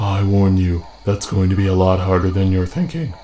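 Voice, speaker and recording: In a put-on character voice, a man talks at a moderate pace and very deep, low pitch, with fairly even intonation and very even loudness. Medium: machinima. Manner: grave, measured.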